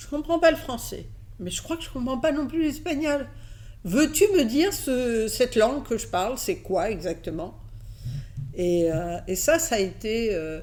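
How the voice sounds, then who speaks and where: A woman speaks at a fairly high pitch with very wide pitch swings. Her loudness swings widely too. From Catalonia, then raised in France from age 6. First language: Catalan (speaking French). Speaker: advertising executive. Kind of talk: interview. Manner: hesitant fillers.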